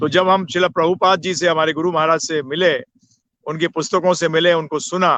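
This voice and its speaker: The tone is bright and sharp, with fairly even intonation. The sound is dry and close, with no echo. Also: man. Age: 60s. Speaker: spiritual teacher. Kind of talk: interview. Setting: live video stream.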